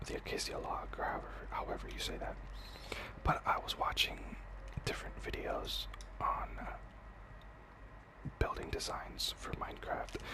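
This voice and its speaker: A whispering voice with long, frequent pauses comes through over noticeable background noise. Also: moderate pace. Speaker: ASMR gaming creator. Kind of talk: whispered gameplay ramble. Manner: whispered.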